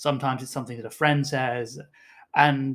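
The voice has a British accent and a moderate pace. Intonation is fairly even, on a very clean recording with a silent background. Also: man. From UK. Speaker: tabletop game designer. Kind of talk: casual chat.

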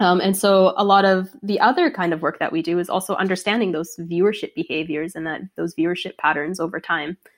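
A woman's medium-pitched voice with a Canadian accent, an unremarkable speaking voice, at a fairly quick pace with hardly any pauses and fairly even intonation. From Canada, Toronto. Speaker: data analytics director. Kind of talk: casual interview.

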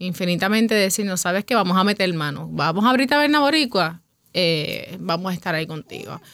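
A woman with an ordinary speaking voice talks at medium pitch and a fairly quick pace, her intonation lively. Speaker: bar owner. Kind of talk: interview conversation.

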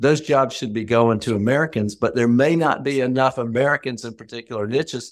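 A man speaks with a Southern US accent. His pitch sits at medium. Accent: Southern US (Georgia). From rural Georgia, US South. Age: middle-aged. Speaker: former congressman, lobbyist. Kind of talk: panel discussion. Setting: call.

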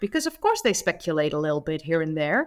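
The speaker has a Dutch accent and very wide pitch swings. The recording is very clean, with a silent background. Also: woman. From Netherlands. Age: 30s. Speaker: history YouTuber. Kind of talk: casual chat.

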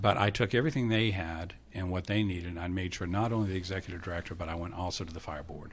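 Somewhat breathy, a man talks at a very fast pace with a very deep, low pitch. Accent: American. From Maine, US. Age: 70s. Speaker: retired fire marshal and academy director. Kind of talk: casual interview, storytelling. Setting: studio.

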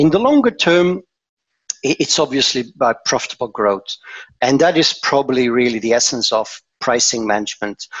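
A man with a Dutch accent at a moderate pace, medium in pitch, with lively intonation. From Belgium, Antwerp. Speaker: pricing management director. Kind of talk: interview.

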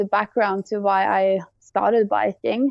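A woman speaks with a Swedish accent at medium pitch. Her pace is fairly slow and her intonation fairly even. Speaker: cyclist and snowboarder. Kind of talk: casual chat.

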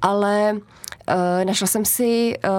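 This woman uses a normal speaking voice. She sits at a medium pitch and varies it in an ordinary way. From Czechia, Tachov area. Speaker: animal shelter operator. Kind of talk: casual interview.

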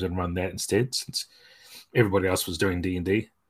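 A man's very deep, low voice with a New Zealand accent, in a very clean recording with a silent background. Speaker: game designer. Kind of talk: interview.

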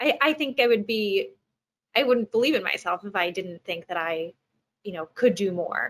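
A woman with an American accent at a moderate pace. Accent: Long Island accent reduced by training. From US, Long Island. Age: young. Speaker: actress. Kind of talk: interview. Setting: video call from home.

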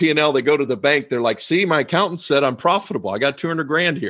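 A man with an American accent speaks at a very fast pace in a fairly high pitch. His tone is bright and sharp, and the background is quiet. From US, with youth spent at a boarding school in Asia. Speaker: tax advisor and podcast host. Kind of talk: interview conversation.

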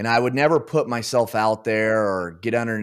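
In an American accent, the words come at a moderate pace. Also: man. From US Pacific Northwest, Oregon. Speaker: business founder. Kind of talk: interview. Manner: halting.

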